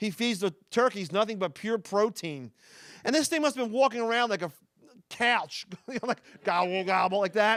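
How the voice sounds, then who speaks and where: Here a man speaks in a Philadelphia accent at a high pitch, with lively intonation and a fairly quick pace. The recording is very clean, with a silent background and a dry, close sound with no echo. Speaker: stand-up comedian. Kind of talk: stand-up. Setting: stage with audience.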